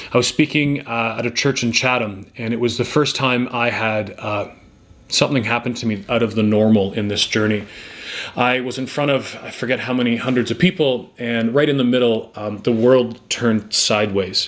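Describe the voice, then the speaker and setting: A man speaks with a Canadian accent. His pitch is medium and his intonation fairly even. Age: 40s. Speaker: motivational speaker and former teacher. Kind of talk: personal testimony. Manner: fast; halting, many fillers.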